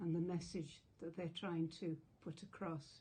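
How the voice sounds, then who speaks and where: Speaking at a fairly slow pace, a woman with an English accent has a fairly low pitch and a dark, mellow, somewhat breathy tone. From England. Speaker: retired teacher. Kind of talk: public support message to camera.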